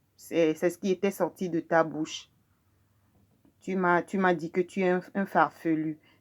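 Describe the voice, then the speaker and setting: The voice has a Togolese accent. The recording is very clean, with a silent background. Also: woman. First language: Mina (speaking French). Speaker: video blogger. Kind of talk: personal testimony. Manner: halting, frequent hesitations.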